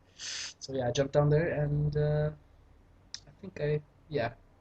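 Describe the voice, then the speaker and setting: Speech comes at a moderate speed. A German accent is heard. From Germany. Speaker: gaming commentator. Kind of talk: gameplay commentary. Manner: casual, hesitant with fillers. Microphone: poor microphone.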